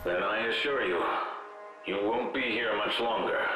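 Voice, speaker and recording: Amid loud background noise and a slight echo, a man uses a put-on character voice at a moderate pace and a medium pitch. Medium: fan dub. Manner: grave, measured.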